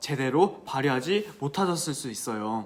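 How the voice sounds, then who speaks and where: A man talks with very wide pitch swings. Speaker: teacher giving exam advice. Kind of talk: vlog-style advice talk. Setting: coffee shop. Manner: stumbling over words, self-described.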